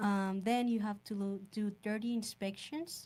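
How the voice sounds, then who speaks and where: In a Mexican accent, a woman speaks with a dark, mellow tone that is somewhat breathy. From Sonora, Mexico. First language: Spanish. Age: 20s. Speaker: home inspector. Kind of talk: podcast interview. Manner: slightly halting, non-native phrasing.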